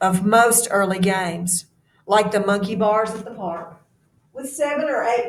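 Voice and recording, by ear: Someone is reading aloud in a natural voice. The words are read out plainly.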